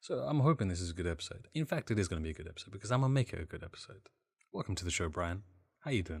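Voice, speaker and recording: Talking at a very fast pace, a man with a fairly low, somewhat breathy voice makes very wide pitch swings in a very clean recording with a silent background. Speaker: gaming podcast host. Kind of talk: casual chat.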